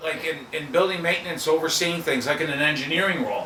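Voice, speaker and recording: Talking at a very fast pace with an American accent, a man uses a fairly high pitch and lively intonation. His tone is animated, with noticeable background noise and audible room echo. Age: 60s. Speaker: podcast co-host. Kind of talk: casual chat.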